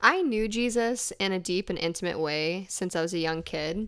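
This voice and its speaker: With an American accent, a woman speaks at a fairly low pitch and ordinary pitch variation. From Texas. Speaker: podcast host and faith-based women's group leader. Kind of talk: casual chat. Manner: animated.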